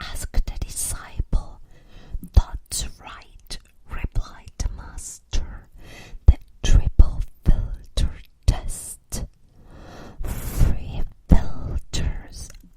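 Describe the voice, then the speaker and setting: Someone whispers with a non-native accent at a very slow pace, leaving long, frequent pauses. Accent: foreign accent in English. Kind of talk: whispered ASMR for sleep, with story reading. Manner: whispered, soft-spoken.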